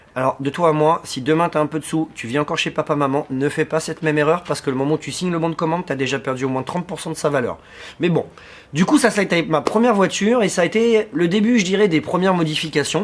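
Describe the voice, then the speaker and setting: A man talks at a very fast pace, his pitch fairly high, with ordinary pitch variation. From Paris suburbs, France (Seine-Saint-Denis). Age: 30s. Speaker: car vlogger. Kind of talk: casual vlog talk to camera. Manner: casual, with frequent hesitations.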